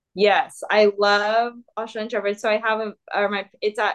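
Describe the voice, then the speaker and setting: In an American accent, a woman speaks at a moderate pace and a medium pitch. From Southern California. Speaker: professional runner. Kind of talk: casual chat.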